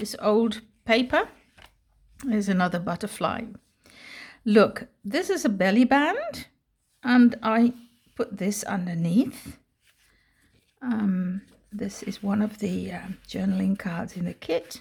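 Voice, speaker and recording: Speaking with a Dutch accent, a woman with a somewhat breathy, fairly high voice goes at a very slow pace with long, frequent pauses. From Netherlands. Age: 60s. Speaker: retired English teacher, crafter. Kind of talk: casual crafting video talk to camera.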